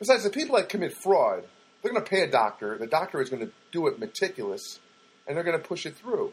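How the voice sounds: Fast and fairly high-pitched, a man talks with big pitch swings. His voice carries a slightly husky edge.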